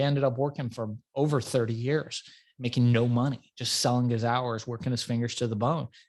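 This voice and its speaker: A man with an American accent speaks in an ordinary speaking voice at medium pitch, fairly quick pace and fairly even intonation. The recording is very clean, with a silent background. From Iran, grew up in US from childhood. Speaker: entrepreneur. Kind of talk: interview.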